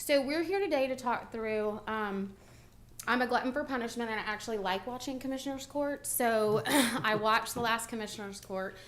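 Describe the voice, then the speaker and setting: A woman with a fairly high pitch, ordinary pitch variation and a fairly quick pace, with audible room echo. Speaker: benefits consultant. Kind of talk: presentation to county court. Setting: county courthouse meeting. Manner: loud.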